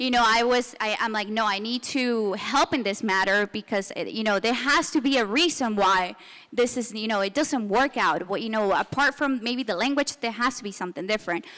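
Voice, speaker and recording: A woman with a Spanish accent speaks at a fairly quick pace with hardly any pauses. Her pitch is fairly high with ordinary variation, and her tone is bright and sharp. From Venezuela. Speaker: business consultant. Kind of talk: panel discussion. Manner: halting, many fillers and restarts.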